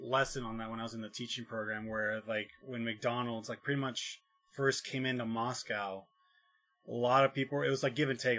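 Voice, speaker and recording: The speech comes at a very fast pace with monotone, flat intonation. Music plays in the background. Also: man. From southern Oregon. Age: 30s. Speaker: podcast host. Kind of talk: casual chat.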